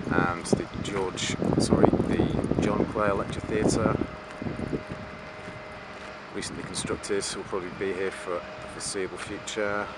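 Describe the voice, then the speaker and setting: Moderate-paced speech from a man with long, frequent pauses, dry with no echo, under loud background noise. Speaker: campus tour narrator. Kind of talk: commentary. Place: street. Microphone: phone near.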